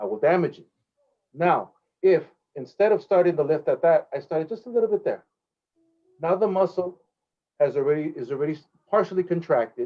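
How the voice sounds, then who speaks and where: Music plays in the background as a man talks at a fairly quick pace. His pitch is high. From Los Angeles (South Central), US. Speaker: professional trumpet player and clinician. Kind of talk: interview, teaching explanation. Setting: video call webinar.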